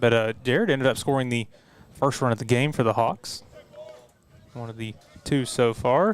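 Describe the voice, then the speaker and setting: The voice carries a strong Southern US accent with fairly even intonation. It comes at a moderate pace over noticeable background noise. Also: man. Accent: thicker southern. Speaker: play-by-play sports announcer. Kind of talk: live commentary.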